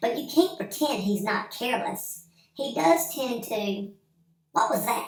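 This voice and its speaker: A female-sounding voice puts on a character voice at a fairly high pitch and a fairly slow pace, with a slight echo. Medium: read story. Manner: brisk, indignant.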